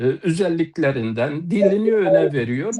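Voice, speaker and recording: Speaking at a fairly slow pace, a man with an Eastern Anatolian accent lets his pitch swing very widely. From eastern Turkey, Palu (Elazığ). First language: Zazaki (speaking Turkish). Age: 60s. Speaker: poet and author. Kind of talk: panel talk on live TV. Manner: halting, many filler sounds.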